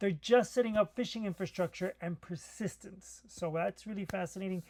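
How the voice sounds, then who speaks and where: The recording is dry and close with no echo as a high-pitched man speaks at a moderate pace with ordinary pitch variation. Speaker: cybersecurity commentator. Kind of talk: solo tech commentary. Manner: mumbling; hesitant, many fillers.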